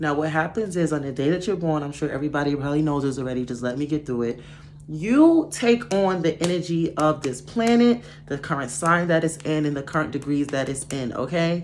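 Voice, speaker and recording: With a very deep, low pitch, a woman speaks at a fairly quick pace and ordinary pitch variation. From New York. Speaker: astrology YouTuber. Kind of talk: casual tutorial. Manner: fast.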